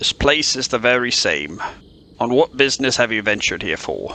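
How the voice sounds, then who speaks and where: Putting on a character voice, a man talks at a moderate pace with a medium pitch. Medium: audio drama. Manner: formal, dry.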